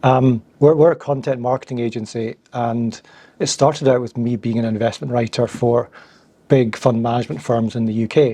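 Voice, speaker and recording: In a Scottish accent, a man talks at a moderate pace and medium pitch, with a dark, mellow tone and fairly even intonation. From Scotland. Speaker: founder of content marketing agency. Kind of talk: interview.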